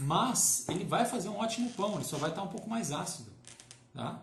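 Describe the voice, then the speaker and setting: A man's lively intonation at a moderate pace, with audible room echo and noticeable background noise. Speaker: baker. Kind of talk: live-stream tutorial. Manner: halting, many fillers.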